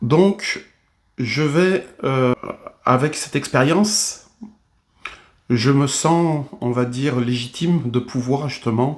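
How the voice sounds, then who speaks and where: A man with a fairly high pitch speaks very slowly. Long, frequent pauses break up his speech. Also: ordinary pitch variation. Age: 60s. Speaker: bodybuilder and fitness trainer. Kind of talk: video monologue. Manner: hesitant, many fillers.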